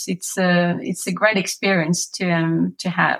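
A woman with a French accent. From France. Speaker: massage therapist. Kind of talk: interview. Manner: hesitant, many fillers.

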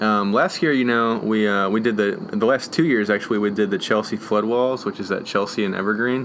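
Fairly quick and with hardly any pauses, a man talks at a fairly low pitch with fairly even intonation and very even loudness. He has a plain, everyday voice. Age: 20s. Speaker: graffiti artist and muralist. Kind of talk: casual interview. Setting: outdoors on a front porch.

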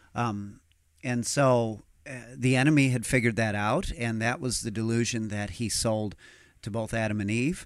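In a very clean recording with a silent background, a man has a normal speaking voice at a medium pitch, talking at a moderate pace with ordinary pitch variation. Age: 40s. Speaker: pastor. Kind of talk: casual chat. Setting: studio.

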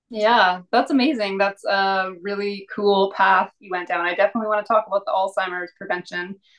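This woman has an unremarkable speaking voice at medium pitch. Her intonation stays fairly even. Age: 40s. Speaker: podcast host. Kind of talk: reading a bio aloud; interview.

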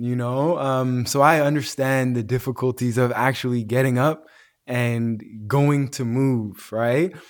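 A man talks at a fairly slow pace in an unremarkable speaking voice, with fairly even intonation. The recording is very clean, with a silent background. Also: medium pitch for a man. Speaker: wellness entrepreneur and retreat organizer. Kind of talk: casual interview.

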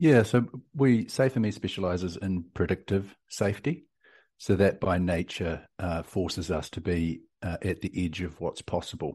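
A man with a New Zealand accent speaks at a moderate pace and a very deep, low pitch. His tone is dark and mellow, with ordinary pitch variation, against a quiet background. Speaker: tech company CEO and entrepreneur. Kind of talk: interview. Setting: remote call.

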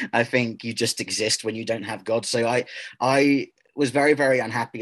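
A man speaks in a normal speaking voice at a fairly quick pace. His intonation stays fairly even. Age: 30s. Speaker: activist speaking against transgender movement. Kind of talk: interview.

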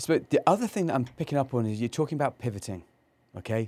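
Speaking at a very fast pace, a man with a medium pitch, dark, mellow tone and lively intonation comes through in a very clean recording with a silent background. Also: dry, close sound with no echo. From England, Cornwall. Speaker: co-host, business consultant. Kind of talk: casual chat. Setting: studio.

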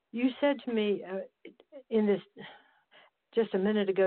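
A woman's ordinary speaking voice, with ordinary pitch variation at a moderate pace. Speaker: podcast host. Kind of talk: casual interview chat.

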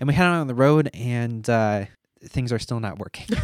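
Speaking at a moderate pace with ordinary pitch variation, a man is heard in a very clean recording with a silent background. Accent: American. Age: 20s. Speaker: math teacher and former missionary. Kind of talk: personal testimony interview. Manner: hesitant with many fillers.

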